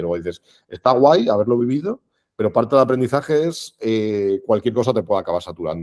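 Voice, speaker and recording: Talking at a very fast pace, a man with a medium pitch and a dark, mellow tone uses lively intonation, captured in a very clean recording with a silent background and a dry, close sound with no echo. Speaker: marketing professional, podcast guest. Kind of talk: interview conversation.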